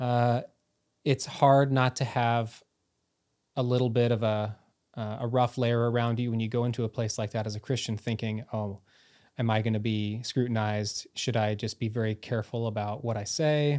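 A man with an American accent, medium-pitched and monotone in flat intonation, at a moderate pace. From United States. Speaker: education professor, former international school administrator. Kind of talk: casual interview conversation.

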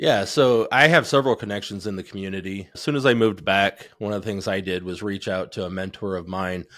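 In a Midwestern American accent, a man talks at a fairly quick pace with a very deep, low pitch. The recording is very clean, with a silent background. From northern Indiana, Elkhart County. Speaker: company vice president. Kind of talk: interview conversation.

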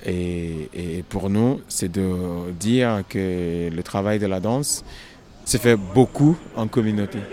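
A man speaks very slowly in a fairly low voice with a dark, mellow tone. His pitch varies in an ordinary way. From Nigeria. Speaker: choreographer. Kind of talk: interview.

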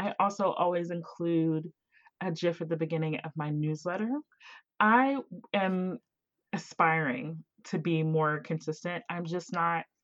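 A woman with an American accent speaks at a fairly slow, fairly low pitch with ordinary pitch variation, taking long, frequent pauses against a quiet background. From southern West Virginia, near Ohio. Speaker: podcast host and producer. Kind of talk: interview conversation.

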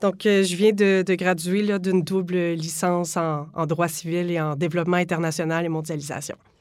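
This woman's fairly low voice moves at a moderate pace with monotone, flat intonation. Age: 20s. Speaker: law student. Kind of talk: interview.

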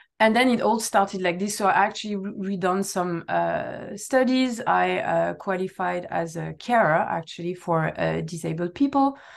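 This woman speaks with a French accent. Her pace is moderate. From southern France. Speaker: customer success director. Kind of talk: interview.

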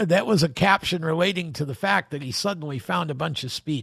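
A man with a normal speaking voice, a fairly high pitch, and lively intonation, on a very clean recording with a silent background. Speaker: podcast host. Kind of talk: solo podcast narration about racing history. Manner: conversational, reminiscing.

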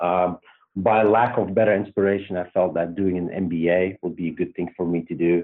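Speaking at a moderate pace with a Belgian accent, a man uses a very deep, low voice and a monotone, flat intonation. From Belgium. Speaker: startup CEO and co-founder. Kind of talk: interview.

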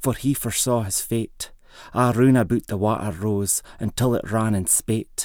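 A man with medium pitch, an ordinary speaking voice and a fairly slow pace. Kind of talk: poet reading a Scots dialect poem aloud. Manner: measured, rhythmic, storytelling cadence.

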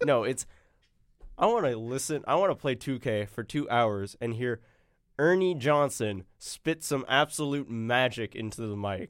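A man of medium pitch with an American accent speaks at a fairly slow pace, in an ordinary speaking voice with ordinary pitch variation. The recording is very clean, with a silent background. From US South, Arkansas. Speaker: podcast host, student. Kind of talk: casual chat. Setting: studio. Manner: casual, laughing.

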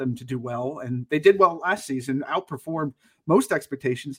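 A man with a plain, everyday voice speaks at a fairly high pitch and fairly quick pace with ordinary pitch variation, on a very clean, dry, close recording with no echo and a silent background. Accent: American. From Connecticut. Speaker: podcast co-host. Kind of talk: casual chat.

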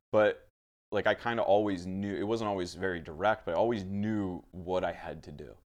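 A man speaks at a fairly quick pace with a fairly low pitch and fairly even intonation. His loudness swings widely. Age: 30s. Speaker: business owner and podcaster. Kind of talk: casual chat. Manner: halting.

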